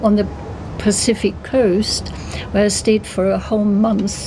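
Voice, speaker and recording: A woman with a German accent, over light background noise. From Germany, later long in southwest England. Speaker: traveller. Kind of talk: interview. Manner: hesitant, with fillers. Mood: warm, enthusiastic. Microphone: phone near.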